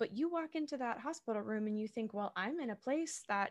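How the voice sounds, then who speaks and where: A woman with a normal speaking voice, fairly high in pitch, lively in intonation and fairly quick, recorded with a dry, close sound and no echo. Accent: American. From Massachusetts, south of Boston. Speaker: actor and podcast host. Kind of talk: casual interview chat.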